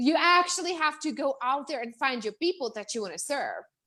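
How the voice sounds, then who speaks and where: A high-pitched woman with a Czech accent, animated in tone, with lively intonation. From Czech Republic. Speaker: business coach. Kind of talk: interview. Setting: live video stream. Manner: fast, animated.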